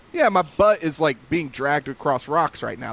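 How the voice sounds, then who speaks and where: In a Southern US accent, a man speaks at a moderate pace and a fairly high pitch, with ordinary pitch variation. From North Carolina. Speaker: podcast co-host. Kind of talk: casual chat.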